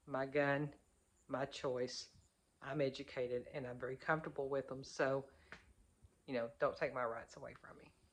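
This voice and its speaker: In an Arkansas accent, a woman speaks at a moderate pace in a very deep, low voice, her intonation monotone and flat, with long, frequent pauses and big swings in loudness. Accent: Southern US (Arkansas). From US South, Arkansas. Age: 50s. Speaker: prepper vlogger. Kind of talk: casual talk to camera.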